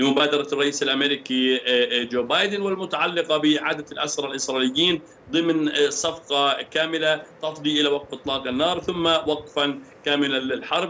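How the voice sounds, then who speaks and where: Over light background noise, a man talks at a moderate pace with fairly even intonation and hardly any pauses. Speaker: remote guest. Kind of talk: interview answer. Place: home room.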